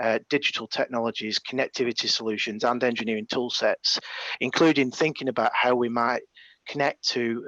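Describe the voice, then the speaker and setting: A man speaks with a northern English accent in a bright, sharp tone. The sound is dry and close, with no echo. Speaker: engineering manager at a defence company presenting a challenge. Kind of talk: webinar presentation. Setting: video call webinar, on site without camera. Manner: hesitant, many fillers.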